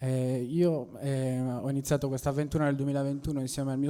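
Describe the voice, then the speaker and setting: A man's voice has a dark, mellow tone and monotone, flat intonation. The recording is very clean, with a silent background. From Sardinia, La Maddalena. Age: 20s. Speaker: local entrepreneur. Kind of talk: public speech. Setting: public meeting with audience.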